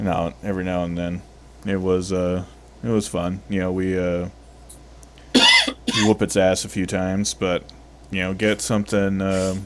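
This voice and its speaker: A man's very deep, low voice in flat monotone, moderate in pace with long, frequent pauses, over noticeable background noise. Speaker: gaming streamer. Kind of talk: casual chat.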